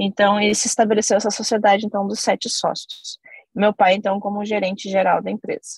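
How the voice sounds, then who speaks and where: Somewhat breathy and flat in intonation, a woman's medium-pitched voice is recorded dry and close with no echo. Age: 30s. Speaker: company CEO. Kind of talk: interview.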